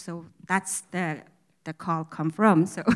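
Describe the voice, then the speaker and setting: Woman with a Mongolian accent, moderate pace, bright and sharp tone, very clean recording with a silent background. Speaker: church member. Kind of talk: testimony. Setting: church service with congregation. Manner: halting.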